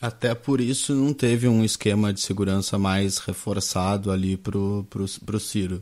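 In an unremarkable speaking voice, a man talks fairly slowly and hardly pauses, his pitch fairly low and his intonation fairly even. The recording is very clean with a silent background. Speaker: news show host. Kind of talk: live interview.

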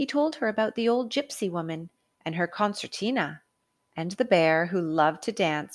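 Lively intonation marks a natural reading voice over a quiet background.

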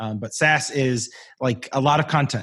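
At a moderate pace, a man talks in a medium pitch with ordinary pitch variation and a somewhat breathy quality. The recording is very clean, with a silent background. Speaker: community strategist and voiceover artist. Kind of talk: casual interview chat.

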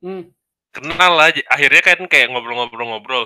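His intonation sounds lively. The man keeps a fairly slow pace. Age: 20s. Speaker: podcast guest. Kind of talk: casual chat. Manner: animated.

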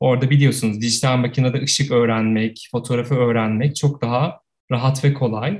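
A man talks at a moderate pace. His voice sounds somewhat breathy. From Turkey, Ankara. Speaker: photographer. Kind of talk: casual interview.

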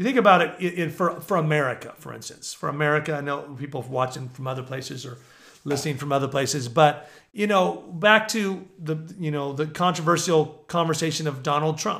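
The tone is bright and sharp, and the pace fairly quick. Loudness swings in a big way. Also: man, fairly high pitch for a man, ordinary pitch variation. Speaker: prophetic minister and podcast host. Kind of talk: preaching monologue. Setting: at home. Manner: loud, passionate; animated.

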